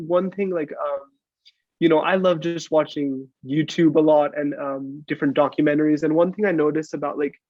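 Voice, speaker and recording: An American accent marks this man's unremarkable speaking voice, fairly high in pitch and delivered at a fairly quick pace. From United States. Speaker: podcast guest. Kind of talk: casual chat.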